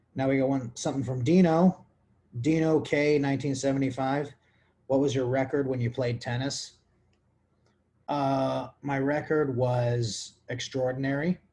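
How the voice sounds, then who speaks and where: At a fairly slow pace, a man speaks with a medium pitch, a dark, mellow tone, ordinary pitch variation, and a somewhat breathy quality. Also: long, frequent pauses. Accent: American. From US, New York and Houston, Texas. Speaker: podcast host. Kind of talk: casual chat, Q&A. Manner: rambling, loose speech.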